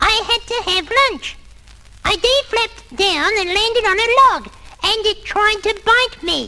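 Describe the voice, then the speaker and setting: At a fairly slow pace, the speaker uses a put-on character voice that is squeaky and extremely high in pitch. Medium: read story. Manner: stammering, chatty.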